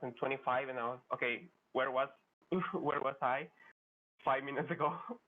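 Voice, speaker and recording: Talking at a fairly quick pace, a man of medium pitch speaks with a Spanish accent. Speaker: speedrunner competitor. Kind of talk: post-match interview. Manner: halting.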